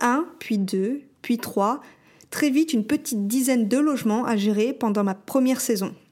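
A woman speaks fairly slowly in a dark, mellow tone at a fairly high pitch. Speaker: podcast host and short-term rental concierge business owner. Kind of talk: scripted narration.

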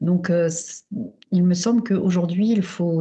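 Somewhat breathy, a woman with a fairly low pitch speaks at a moderate pace. Her intonation is monotone and flat. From Paris, France. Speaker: urban planning researcher. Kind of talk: remote interview. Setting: remote call. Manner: halting, many fillers.

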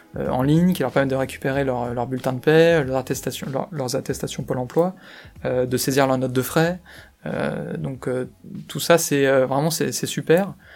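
Music plays behind a man's voice. His pitch varies in an ordinary way. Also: medium pitch for a man, moderate pace. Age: 30s. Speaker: chief financial officer. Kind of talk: interview. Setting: company office. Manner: hesitant, many fillers and repetitions.

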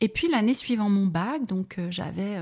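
This woman's tone is dark and mellow. Her voice is somewhat breathy. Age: 50s. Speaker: psychotherapist and coach. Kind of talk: interview. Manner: hesitant, with many fillers.

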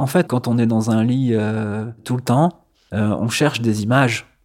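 On a very clean recording with a silent background, a man speaks very slowly at a medium pitch. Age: 30s. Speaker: former culture journalist, hemophilia patient. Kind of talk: personal testimony interview. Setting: at his home. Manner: hesitant, many fillers.

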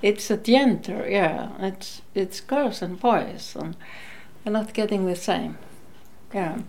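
Very slow speech in an Icelandic accent, with vocal fry and fairly even intonation. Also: woman. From northern Iceland, Akureyri. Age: 60s. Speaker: retired nurse, former activist. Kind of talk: interview. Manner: halting.

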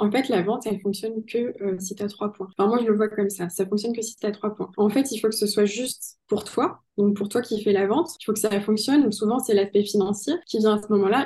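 A woman with a medium pitch and a dark, mellow, somewhat breathy tone speaks at a fairly quick pace with fairly even intonation. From southwestern France (Pau). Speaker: sales coach. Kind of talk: podcast interview.

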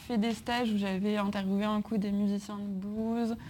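This voice is somewhat breathy with a dark, mellow tone. It moves at a moderate pace. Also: woman. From France, Grenoble. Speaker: music journalist. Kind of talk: interview in front of a live audience.

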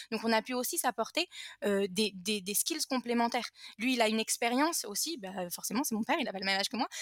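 Lively intonation at a very fast pace, with a dry, close sound and no echo. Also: woman, fairly high pitch for a woman. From France. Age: 20s. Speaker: entrepreneur. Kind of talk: interview.

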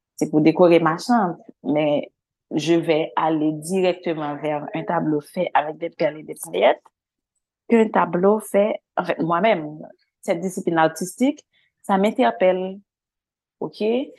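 With a Haitian accent, a woman speaks at a fairly low pitch with ordinary pitch variation and long, frequent pauses. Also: fairly slow pace. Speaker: visual artist. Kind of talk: interview.

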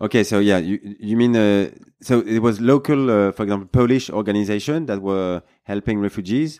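With a French accent, a man speaks at a fairly quick pace and a fairly low pitch in a dark, mellow tone. His pitch varies in an ordinary way over a quiet background. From France. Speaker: podcast host. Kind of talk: podcast interview.

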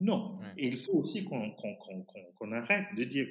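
A man talks at a medium pitch. His pitch swings very widely. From Fiji. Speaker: teacher and writer. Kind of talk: interview. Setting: remote call. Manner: halting.

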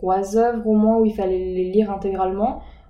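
A woman speaks in a monotone, flat intonation with audible room echo. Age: 19. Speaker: student in preparatory literature class. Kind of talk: interview. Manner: hesitant, many fillers.

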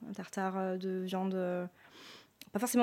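A woman keeps a medium pitch while delivering her words fairly slowly. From Loire Valley, France (Sancerre). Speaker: sommelier and wine shop owner. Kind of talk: interview testimony.

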